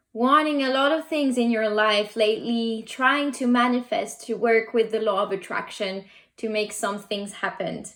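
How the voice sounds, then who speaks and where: Speaking at a very slow pace, a woman has a non-native accent. Her pitch is fairly high, with ordinary variation. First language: not English. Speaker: tarot and oracle card reader. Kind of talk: pick a card reading. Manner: halting.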